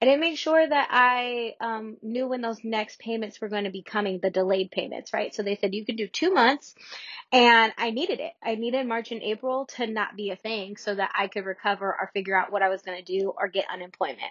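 Speaking fairly quickly with hardly any pauses, a woman with an American accent has a fairly high pitch and ordinary pitch variation. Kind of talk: motivational talk. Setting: Clubhouse room with Q&A. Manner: energetic, motivational.

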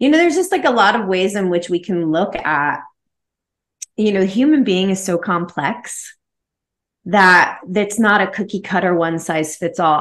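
Against a quiet background, a woman with an unremarkable speaking voice talks at a fairly slow pace, medium in pitch, with lively intonation. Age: 40s. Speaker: massage therapist and spiritual coach. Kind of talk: interview.

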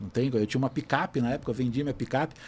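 This man's voice sits at a fairly high pitch and carries a dark, mellow tone. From Brazil. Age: 50s. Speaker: photographer. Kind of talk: casual chat.

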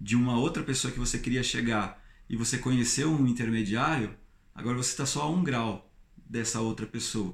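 He speaks at a moderate pace in a medium pitch, with ordinary pitch variation and some vocal fry. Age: 30s. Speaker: YouTuber. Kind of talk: vlog monologue. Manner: animated.

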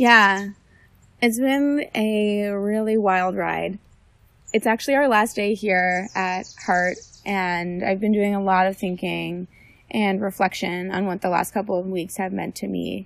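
In a normal speaking voice, the words come at a fairly slow pace. Intonation stays fairly even on a very clean recording with a silent background. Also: woman, medium pitch for a woman. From New Jersey. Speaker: medical student. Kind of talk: casual interview. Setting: outdoors in a forest.

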